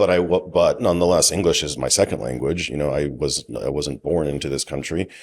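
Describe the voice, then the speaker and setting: On a very clean recording with a silent background, a man with an American accent speaks fairly quickly in a very deep, low voice with vocal fry, ordinary pitch variation and hardly any pauses. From United States, immigrant from Ukraine-Hungary border as a child. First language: Hungarian. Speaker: business owner. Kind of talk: podcast interview. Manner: casual.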